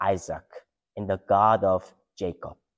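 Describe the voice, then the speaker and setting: The background stays quiet as a man talks. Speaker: pastor or scripture reader. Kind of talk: scripture reading. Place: church.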